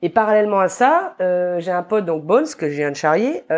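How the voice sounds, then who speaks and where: A woman with a normal speaking voice talks at a medium pitch, with ordinary pitch variation. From New Caledonia. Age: 30s. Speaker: barbershop owner. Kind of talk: casual interview chat.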